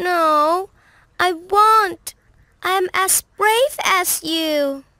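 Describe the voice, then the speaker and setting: A woman uses a put-on character voice at an extremely high pitch, raised and projected, with ordinary pitch variation and a very slow pace. The sound is dry and close with no echo. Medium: read story. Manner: eager, spirited.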